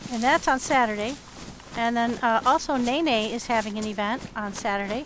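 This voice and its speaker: Against noticeable background noise, a woman talks with a fairly high pitch. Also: ordinary pitch variation, moderate pace. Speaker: gaming streamer. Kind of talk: live gameplay commentary. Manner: quieter when sneaking in game.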